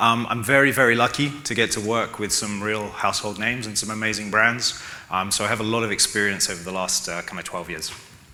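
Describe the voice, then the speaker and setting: A man with a London accent speaks at a very fast pace and fairly low pitch, hardly pausing. Audible room echo and noticeable background noise surround him. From London, England. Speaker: e-commerce consultant. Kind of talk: conference talk.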